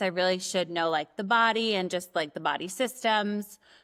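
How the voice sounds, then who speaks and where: In a New York accent, a woman talks at a medium pitch with a bright, sharp tone and ordinary pitch variation, recorded very cleanly against a silent background. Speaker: nurse practitioner and aesthetic injector. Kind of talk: casual chat.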